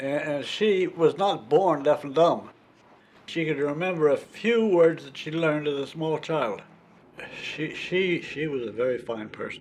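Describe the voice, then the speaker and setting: A man's fairly high voice at a fairly slow pace, with ordinary pitch variation and big swings in loudness, over noticeable background noise. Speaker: oral history interviewee. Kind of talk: interview answer.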